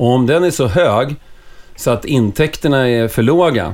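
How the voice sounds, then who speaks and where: A man talks in a normal speaking voice, moving fairly slowly. His pitch rises and falls in an ordinary way. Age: 40s. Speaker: hockey club supporter. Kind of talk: casual chat.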